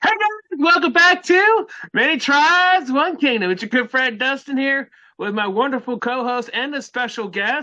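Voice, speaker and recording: A man's raised, projected voice, extremely high in pitch, bright and sharp, with very wide pitch swings at a moderate pace. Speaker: podcast host. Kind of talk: casual chat.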